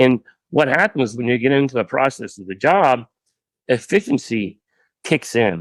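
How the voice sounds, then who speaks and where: A man with an American accent at a medium pitch and moderate pace, ordinary pitch variation, dry and close sound with no echo, very clean recording with a silent background. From Ohio, US Midwest. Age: 60s. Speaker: pressure washing business owner. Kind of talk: podcast interview.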